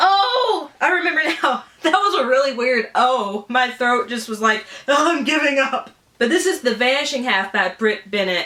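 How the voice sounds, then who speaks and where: A woman with a Southern US accent uses a raised, projected voice at a moderate pace, her high pitch moving through very wide swings in an animated tone, with noticeable background noise behind her. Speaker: book YouTuber. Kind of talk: casual unboxing vlog.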